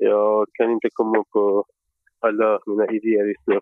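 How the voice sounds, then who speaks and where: A man with a medium pitch keeps to a moderate speed. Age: 30s. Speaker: board election candidate. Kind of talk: interview. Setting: on a train. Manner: hesitant.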